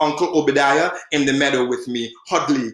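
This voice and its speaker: Over noticeable background noise, a man with an American accent speaks at a moderate pace and a fairly high pitch. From Trinidad. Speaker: poet. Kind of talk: poetry reading; casual introduction.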